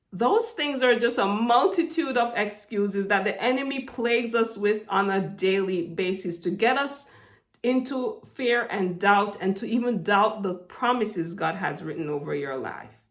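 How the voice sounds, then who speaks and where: This woman has a fairly high pitch and a Jamaican accent. She moves at a moderate pace with lively intonation. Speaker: motivational faith vlogger. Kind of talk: inspirational monologue. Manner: hesitant, with fillers.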